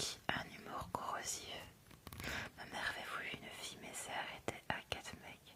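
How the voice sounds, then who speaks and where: Whispering at a moderate pace, a woman's loudness swings widely over noticeable background noise. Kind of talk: ASMR whispered live stream chat with viewers. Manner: whispered, soft.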